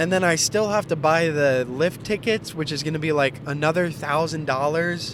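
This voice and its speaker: Over noticeable background noise, a man with an American accent speaks at a fairly high pitch with ordinary pitch variation. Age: 20s. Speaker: vlogger, lawn care business owner. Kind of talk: casual vlog monologue.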